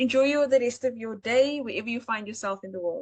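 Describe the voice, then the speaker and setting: Here a woman talks with a South African accent at a moderate pace. Her pitch is fairly high, with ordinary variation. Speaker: AI art seller and webinar host. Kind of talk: live webinar tutorial. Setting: live online webinar.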